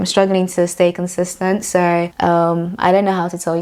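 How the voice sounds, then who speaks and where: A woman speaks at a fairly quick pace and fairly low pitch with monotone, flat intonation, amid noticeable background noise. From Nigeria. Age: 20s. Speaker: beauty vlogger. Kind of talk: casual chat. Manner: fast.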